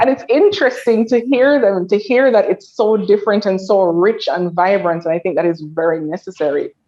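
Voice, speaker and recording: Speaking with a Jamaican accent, a woman talks at a fairly quick pace with hardly any pauses, her medium-pitched voice showing lively intonation. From Jamaica (Kingston area). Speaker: panelist. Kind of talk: panel discussion.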